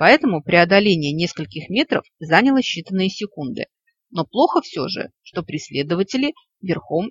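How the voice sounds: Lively intonation fills a natural reading voice, and the background is quiet.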